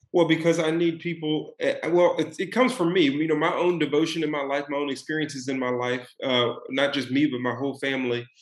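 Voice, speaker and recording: Speaking fairly quickly in a Texan accent, a man uses a fairly high pitch with ordinary pitch variation. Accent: Texan American. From Dallas, Texas. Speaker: author and former football player. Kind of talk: interview.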